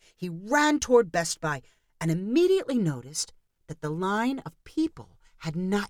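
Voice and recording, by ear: The background is silent. The text is read aloud in a natural voice.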